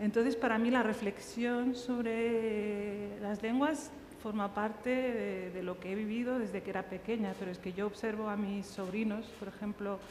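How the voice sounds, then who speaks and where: A woman talks at a fairly slow pace with hardly any pauses, her pitch fairly high and her intonation fairly even. Noticeable background noise and audible room echo are present. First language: Riffian Berber (Tamazight) (speaking Spanish). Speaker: writer. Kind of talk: panel discussion. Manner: halting.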